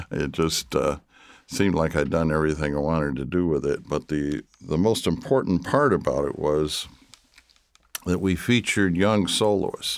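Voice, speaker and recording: A man with an American accent and a very deep, low voice speaks at a moderate pace with lively intonation. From Michigan. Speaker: orchestral trombonist. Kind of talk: casual chat. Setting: studio.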